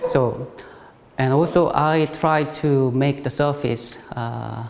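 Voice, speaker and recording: A man talks at a medium pitch, his intonation fairly even, while noticeable background noise carries on around him. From South Korea. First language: Korean. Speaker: ceramic artist. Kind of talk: artist talk. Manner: halting, many fillers.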